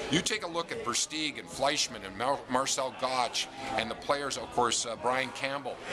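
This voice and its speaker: A man's medium-pitched voice at a moderate pace, with lively intonation, hardly any pauses and noticeable background noise. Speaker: hockey radio broadcaster. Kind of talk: radio-style interview answer about team's season.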